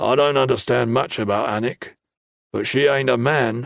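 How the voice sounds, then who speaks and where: A man's put-on character voice, gruff and raspy, medium in pitch, at a moderate pace with fairly even intonation. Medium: read story. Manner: blunt, gruff.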